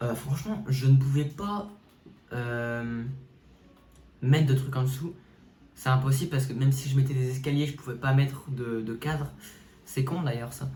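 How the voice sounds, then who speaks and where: A man's voice with ordinary pitch variation, long and frequent pauses, and audible room echo. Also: medium pitch for a man, moderate pace. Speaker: gaming YouTuber. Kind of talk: casual game walkthrough commentary. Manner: animated, hesitant with fillers.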